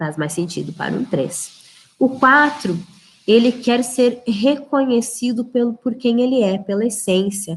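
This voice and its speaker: A woman talks at a fairly slow pace in a plain, everyday voice. Her pitch is fairly high and her intonation lively. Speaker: leadership trainer. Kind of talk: live webinar lecture. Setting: livestream.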